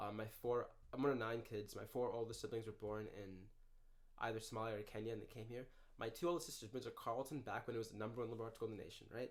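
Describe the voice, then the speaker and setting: A man with an American accent, very fast, medium in pitch, with fairly even intonation. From Minneapolis, Minnesota. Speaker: university student and runner. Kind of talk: casual chat. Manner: slurred speech.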